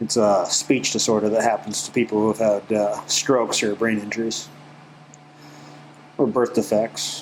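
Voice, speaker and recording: With noticeable background noise, a man speaks at a moderate pace in a medium pitch. His intonation is fairly even, broken by long, frequent pauses. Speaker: animal shelter volunteer. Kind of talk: casual walkthrough vlog. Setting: indoors in dog kennel. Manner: halting; calm.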